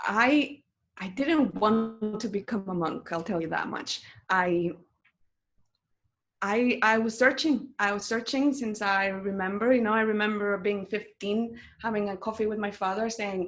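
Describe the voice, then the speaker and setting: In a Spanish accent, the speaker goes at a fairly slow pace on a very clean recording with a silent background. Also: woman, ordinary pitch variation. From Mexico. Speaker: meditation teacher and monk. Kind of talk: interview. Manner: loud, intense.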